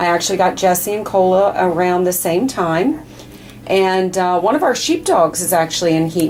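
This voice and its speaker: Over noticeable background noise, a woman with an American accent speaks at a moderate pace in a medium pitch with ordinary pitch variation. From Maryland, DC suburbs. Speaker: dog breeder. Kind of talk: casual video update. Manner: hesitant with many fillers.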